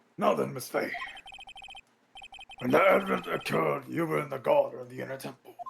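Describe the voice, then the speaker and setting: Using a raspy put-on character voice, a man talks fairly quickly with long, frequent pauses and big swings in loudness. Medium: game stream. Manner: formal, measured.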